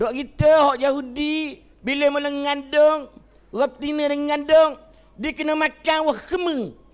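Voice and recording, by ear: A man puts on a nasal character voice pitched extremely high.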